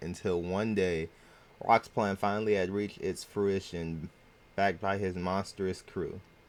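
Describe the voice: The speech is plain reading aloud with fairly even intonation.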